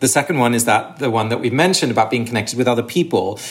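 A man with a southern English accent, his pitch medium. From England, Sussex. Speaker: author and ritual researcher. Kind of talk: interview conversation.

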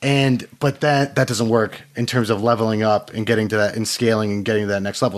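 With a normal speaking voice, a man at medium pitch talks at a fairly quick pace with ordinary pitch variation. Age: 30s. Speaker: entrepreneur. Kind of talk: interview.

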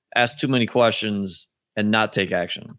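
A man's normal speaking voice, medium in pitch, with ordinary pitch variation. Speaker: podcast host. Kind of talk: casual interview chat.

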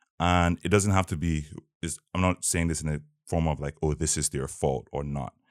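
In a very clean recording with a silent background and a dry, close sound with no echo, a man speaks at a moderate pace with a very deep, low pitch and fairly even intonation. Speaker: podcast host. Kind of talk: interview podcast, casual conversation.

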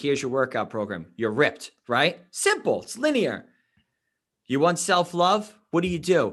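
A man's moderate-paced speech over a quiet background. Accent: New York. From New York City (Queens), then Long Island. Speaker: life coach and endurance athlete. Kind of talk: podcast interview.

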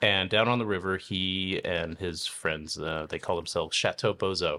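A man with an American accent has a very deep, low pitch and a bright, sharp tone. He speaks at a fairly slow pace with fairly even intonation. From Oregon. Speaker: winemaker. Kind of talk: interview. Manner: halting, many fillers.

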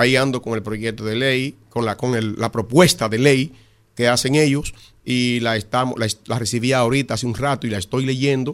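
On a very clean recording with a silent background, a man with an ordinary speaking voice talks at a moderate pace. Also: medium pitch for a man. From Dominican Republic, La Romana. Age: 60s. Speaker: congressman. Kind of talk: radio interview.

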